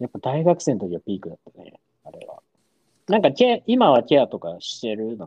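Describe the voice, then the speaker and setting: A man with a dark, mellow tone and vocal fry talks at a fairly quick pace, his fairly high pitch making very wide swings. His loudness shifts greatly, and the sound is dry and close with no echo. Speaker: podcast co-host. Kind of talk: casual chat. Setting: video call.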